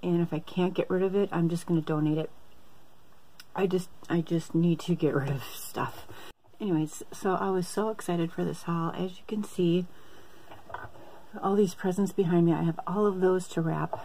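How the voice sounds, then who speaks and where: A woman talks at a moderate pace in a monotone, flat delivery broken by long, frequent pauses. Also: fairly low pitch for a woman. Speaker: haul vlogger. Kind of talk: casual vlog chat. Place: home room. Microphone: phone near.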